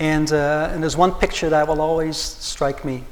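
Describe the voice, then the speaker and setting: A man speaks at a fairly quick pace in a fairly high pitch with flat, monotone intonation. Noticeable background noise and audible room echo fill the recording. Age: 60s. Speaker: patient and community activist. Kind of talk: public forum panel remarks. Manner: halting, with many repeated words.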